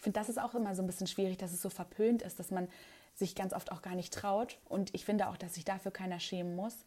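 A woman talks at a very fast pace, somewhat breathy. Her tone is dark and mellow. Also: medium pitch for a woman, fairly even intonation. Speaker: TV reporter and presenter. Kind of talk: casual interview. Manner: hesitant with many fillers.

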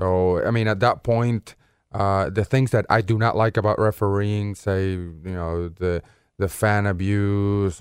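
A man with a Spanish accent and ordinary pitch variation, in a dry, close sound with no echo and a very clean, silent-background recording. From Venezuela (Caracas). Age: 30s. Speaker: soccer referee. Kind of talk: interview.

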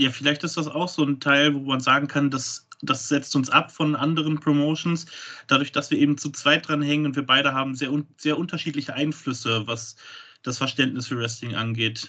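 Against a quiet background, a man with a bright, sharp tone speaks at a moderate pace with fairly even intonation. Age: 20s. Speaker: wrestling promoter. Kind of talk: podcast interview.

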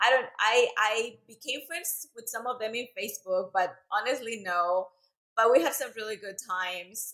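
In a Central American Spanish accent, a woman speaks at a moderate pace and medium pitch, her bright, sharp tone carrying lively intonation and big swings in loudness. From Central America (El Salvador, raised in Costa Rica). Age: 30s. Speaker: fitness instructor and business owner. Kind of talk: casual interview.

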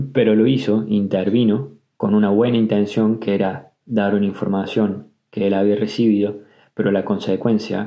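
A man with a normal speaking voice, fairly low pitch, fairly even intonation, very even loudness, and a moderate pace. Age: 20s. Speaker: podcaster. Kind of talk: personal storytelling. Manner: casual.

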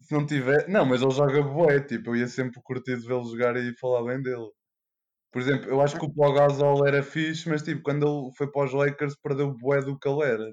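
Talking at a fairly quick pace, a man with a fairly high pitch uses fairly even intonation in a plain, everyday voice. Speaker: veterinary student. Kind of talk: casual chat.

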